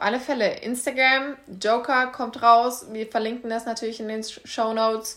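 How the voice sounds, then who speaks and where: The recording is very clean with a silent background. A woman speaks fairly slowly in a normal speaking voice with a fairly high pitch. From Kassel, Germany. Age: 20s. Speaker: podcast co-host, life coach. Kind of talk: casual chat.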